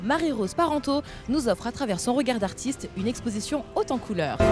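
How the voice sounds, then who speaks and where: A woman speaks fairly quickly in a high voice, with lively intonation and very even loudness. Music plays behind her. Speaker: TV presenter. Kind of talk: TV show presentation.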